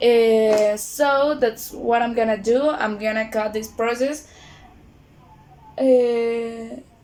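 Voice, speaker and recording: A woman at a very slow pace with a Spanish accent, fairly high in pitch, fairly even in intonation, with long, frequent pauses over noticeable background noise. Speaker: beauty vlogger. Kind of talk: tutorial. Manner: halting.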